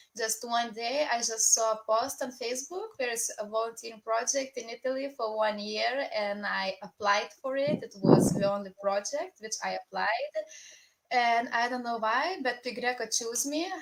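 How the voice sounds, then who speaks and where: A woman speaks in a Lithuanian accent with a fairly high pitch. Her pitch variation is ordinary. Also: moderate pace. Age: 20s. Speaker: international volunteer. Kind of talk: casual talk in online broadcast.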